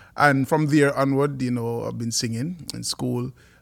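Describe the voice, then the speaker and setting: A man with a medium pitch talks at a moderate pace with fairly even intonation on a very clean recording with a silent background. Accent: Jamaican. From Jamaica. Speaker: worship leader and music producer. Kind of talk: podcast interview.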